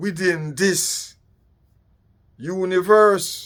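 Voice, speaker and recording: A man with a Jamaican accent is heard on a very clean recording with a silent background. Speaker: political commentator. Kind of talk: political monologue.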